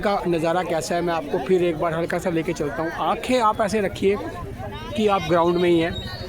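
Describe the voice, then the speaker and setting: A man's high-pitched voice at a moderate pace, with ordinary pitch variation, audible room echo and crowd noise behind him. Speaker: vlogger. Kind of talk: live walkthrough vlog. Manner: halting.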